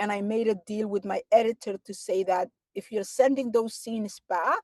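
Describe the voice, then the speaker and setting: In a dry, close recording with no echo, a woman with a Somali accent speaks at a moderate pace in a fairly high pitch with a dark, mellow tone. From Somalia, small town. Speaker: novelist and advocate. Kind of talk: interview. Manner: halting.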